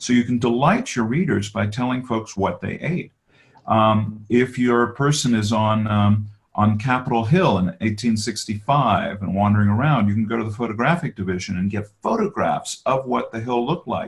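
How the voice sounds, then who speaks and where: The man's voice is somewhat breathy and medium in pitch. He talks at a moderate pace. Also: ordinary pitch variation. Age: 60s. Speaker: author and biographer. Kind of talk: interview on a webinar. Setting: webinar.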